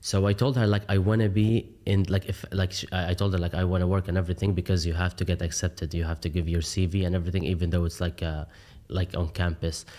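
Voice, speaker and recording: A man with an Arabic accent and a very deep, low, dark, mellow voice, talking at a very fast pace with fairly even intonation, on a very clean recording with a silent background. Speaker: coffee shop owner. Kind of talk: podcast interview. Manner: frequent fillers, hesitant.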